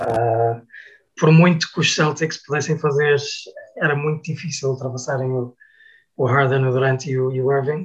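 This man's voice is fairly high and somewhat breathy. He speaks at a moderate pace with monotone, flat intonation. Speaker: basketball commentator. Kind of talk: casual chat. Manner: halting.

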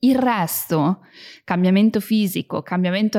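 In a very clean recording with a silent background, a woman with an unremarkable speaking voice talks at a fairly slow pace, at a medium pitch with ordinary pitch variation. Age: 30s. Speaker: personal growth podcast host. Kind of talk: casual monologue.

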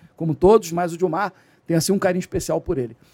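A man talking at a very fast pace, the sound dry and close with no echo. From Rio de Janeiro state, Brazil (Nova Friburgo, then Rio suburbs). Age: 60s. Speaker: retired special police captain and security consultant. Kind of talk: podcast interview.

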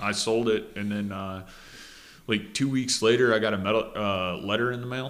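A man with an Upper Peninsula Michigan accent talks at a moderate pace with fairly even intonation. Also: fairly low pitch for a man. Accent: Michigan Upper Peninsula (Yooper). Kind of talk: casual chat. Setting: studio.

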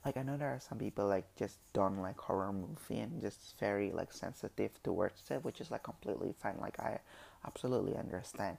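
Low-pitched with vocal fry, a man talks at a fairly quick pace with ordinary pitch variation. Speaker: solo podcaster. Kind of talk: casual monologue. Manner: halting.

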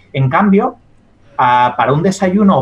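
This man's pitch swings very widely as he speaks. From Spain, La Mancha. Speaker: dietitian-nutritionist and science communicator. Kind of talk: interview.

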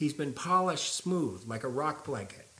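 With an American accent, a man speaks at a moderate pace and a fairly high pitch, his bright, sharp tone showing vocal fry and very wide pitch swings. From California. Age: 50s. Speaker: punk rock vocalist. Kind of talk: casual interview conversation. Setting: at his house.

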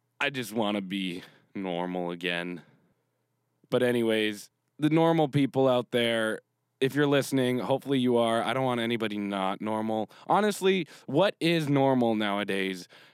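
This man speaks in a normal speaking voice with a Canadian accent, at medium pitch and a moderate pace. His intonation is lively, and the recording is very clean with a silent background. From Canada. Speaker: podcast host. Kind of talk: casual monologue.

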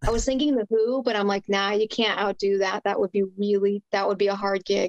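A woman talks at a fairly quick pace in a normal speaking voice. The sound is dry and close with no echo, and her intonation is fairly even. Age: 20s. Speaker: guitarist and guitar builder. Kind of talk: casual chat.

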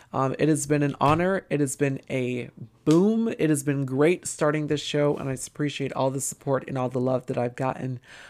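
Her pitch is very deep and low for a woman. The woman talks at a moderate pace with ordinary pitch variation. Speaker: podcast host. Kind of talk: casual podcast update.

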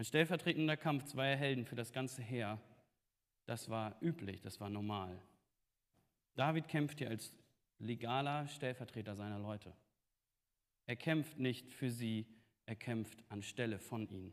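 This man talks at a fairly slow pace with long, frequent pauses and a medium pitch. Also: ordinary pitch variation. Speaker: preacher. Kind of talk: sermon. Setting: church.

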